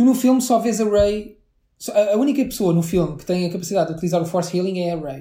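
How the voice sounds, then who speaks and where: A man with a European Portuguese accent, high pitch and a dark, mellow tone, very fast, with big swings in loudness. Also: ordinary pitch variation. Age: 30s. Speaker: podcast co-host. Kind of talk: casual chat.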